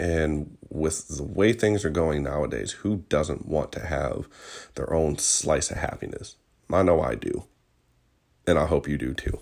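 Over a silent background on a very clean recording, a man with an American accent speaks in a very deep, low pitch with a relaxed tone and vocal fry. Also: ordinary pitch variation. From Virginia, US. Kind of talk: casual solo podcast monologue. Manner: relaxed, with fillers and laughs.

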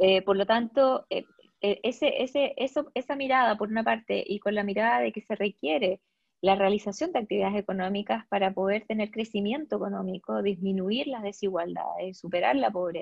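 Moderate pace and lively intonation from a woman in a medium pitch. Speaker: environmental lawyer. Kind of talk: interview. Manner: hesitant, frequent fillers.

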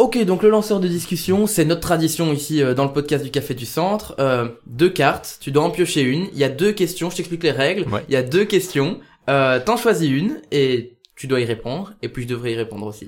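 A man with an ordinary speaking voice and fairly high pitch talks at a moderate pace with lively intonation. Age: 20s. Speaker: podcast host and youth political organizer. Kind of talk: casual chat. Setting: café.

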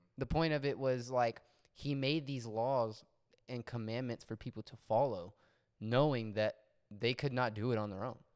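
A man with a plain, everyday voice, medium pitch and fairly even intonation at a moderate pace, in a very clean recording with a silent background. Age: 20s. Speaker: musician, guest. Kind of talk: casual chat about faith.

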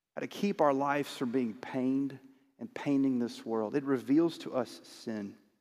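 A man with an unremarkable speaking voice talks at medium pitch and a moderate pace, using ordinary pitch variation. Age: 40s. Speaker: pastor. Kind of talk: sermon. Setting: church.

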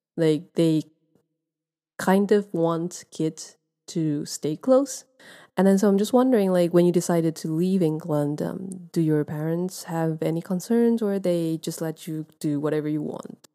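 The recording is very clean and the background silent. A woman talks in a dark, mellow tone, her pitch varying in an ordinary way. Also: fairly low pitch for a woman, fairly slow pace. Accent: Chinese. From Taiwan. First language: Mandarin Chinese. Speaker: podcast host. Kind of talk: casual interview. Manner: halting.

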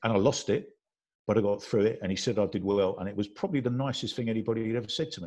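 Talking at a very fast pace against a quiet background, a man uses a medium pitch and ordinary pitch variation. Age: 50s. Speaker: boxing coach. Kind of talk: casual panel chat.

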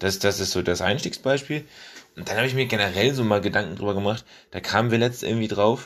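The speech goes at a very fast pace in a very clean recording with a silent background. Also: man, fairly low pitch for a man, ordinary pitch variation. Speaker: solo podcast host. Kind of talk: casual monologue. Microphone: faulty mic replaced after crackling.

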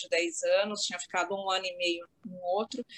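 A woman with an unremarkable speaking voice at medium pitch, with fairly even intonation and a fairly slow pace. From Santos, São Paulo state, Brazil. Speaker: lawyer. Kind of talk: casual chat. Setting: video call from home office.

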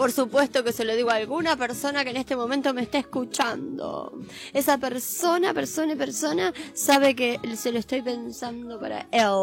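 With noticeable background noise behind her, a woman talks at a moderate pace in a high pitch with ordinary variation. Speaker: radio co-host. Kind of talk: casual chat.

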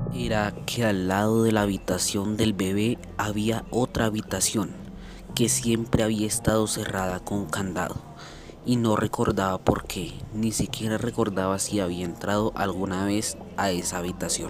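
A man's dramatic, fairly low-pitched voice at a fairly slow pace, with fairly even intonation and noticeable background noise. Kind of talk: bedtime ghost story, scripted-sounding narration of a paranormal tale. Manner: slow, hushed, suspenseful storyteller with dramatic pauses; measured and eerie, building tension toward the twist.

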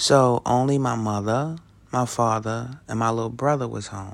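The recording is very clean, with a silent background. A man talks at a moderate pace and medium pitch. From New York City (Brooklyn). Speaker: podcast host. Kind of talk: solo monologue. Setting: recording alone late at night.

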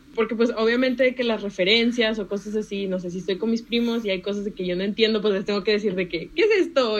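Fairly quick, medium-pitched speech from a woman, fairly even in intonation, with noticeable background noise behind it. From Panama, moved to Monterrey, Mexico at age five. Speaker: economics student. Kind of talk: casual chat.

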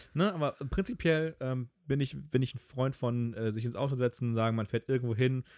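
A man at a moderate pace and medium pitch, with ordinary pitch variation, in a dry, close, very clean recording with no echo and a silent background. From Hamburg, northern Germany. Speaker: podcast co-host. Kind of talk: casual chat.

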